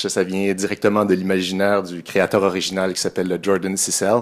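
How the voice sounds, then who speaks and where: This man talks at a moderate pace with a Quebec accent. His pitch is fairly low, and the background is quiet. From Quebec, Montreal. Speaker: software developer, conference speaker. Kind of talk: technical conference talk; conference tech talk. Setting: conference room with audience. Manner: hesitant, many fillers. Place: hall.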